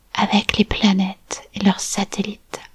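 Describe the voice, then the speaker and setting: A woman whispers at a very slow pace in a calm, soothing tone. There is noticeable background noise. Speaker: hypnotic storyteller and art therapist. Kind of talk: guided meditation for children and families. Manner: calm, slow, soothing.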